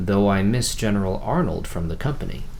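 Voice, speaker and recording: A booming, put-on character voice from a man, fairly low in pitch and fairly quick, with clear background noise. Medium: read story. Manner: booming, oratorical.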